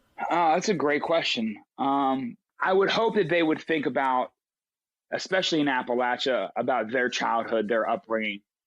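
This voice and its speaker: In an American accent, a man speaks at a fairly high pitch and a moderate pace with lively intonation. His loudness stays very even, and the background is quiet. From West Virginia (Charleston). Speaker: musician. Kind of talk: interview conversation. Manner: many filler words and repetitions.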